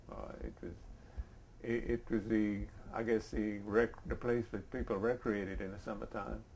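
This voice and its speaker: A man with a south Louisiana accent speaks at a moderate pace. His pitch is fairly low, with vocal fry. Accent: south Louisiana Cajun English. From US South, south Louisiana (Vermilion Parish). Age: 70s. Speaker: interviewee, coastal resident. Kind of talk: oral history interview. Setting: at his home. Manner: halting, many false starts.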